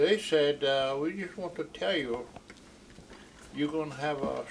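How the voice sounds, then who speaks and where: Noticeable background noise sits behind this recording. A man with a fairly high pitch talks at a very slow pace. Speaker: Omaha elder, fluent speaker of the Omaha language. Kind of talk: oral history storytelling.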